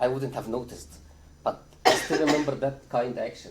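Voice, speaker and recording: A man with a non-native accent talks at a fairly quick pace in a medium pitch, somewhat breathy, with ordinary pitch variation. Room echo is audible. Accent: foreign. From Egypt. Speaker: psychiatry trainee doctor. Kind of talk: conference talk. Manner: hesitant, many filler uhs.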